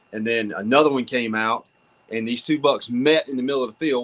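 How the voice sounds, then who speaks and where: A man speaks with a Southern US accent. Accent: Southern US (Georgia). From US South, North Georgia. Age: 40s. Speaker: hunter. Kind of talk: casual chat.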